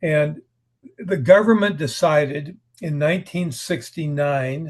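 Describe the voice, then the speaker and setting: Ordinary pitch variation marks this somewhat breathy voice with an American accent. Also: man. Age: 70s. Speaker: writer. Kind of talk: interview. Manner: conversational, hesitant repetitions.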